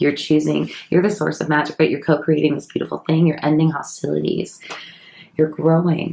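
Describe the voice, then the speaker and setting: A woman speaks in a soft-spoken way. Her pace is moderate. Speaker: psychic medium and tarot reader. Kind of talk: tarot reading. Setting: at home.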